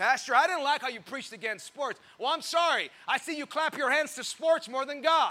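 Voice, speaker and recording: A man talks at a fairly quick pace in a raised, projected voice with an animated tone. His pitch is extremely high, with ordinary variation and a bright, sharp tone. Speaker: pastor. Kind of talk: sermon. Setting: church with congregation. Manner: animated, call-and-response, pausing for amens; teasing, jokey, warm.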